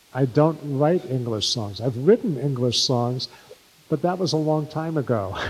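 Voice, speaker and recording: With a New York accent and lively intonation, a man speaks at a moderate pace and a fairly high pitch over noticeable background noise. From New York City (Bronx/Brooklyn). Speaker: Yiddish singer and songwriter, filmmaker. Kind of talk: interview before live audience.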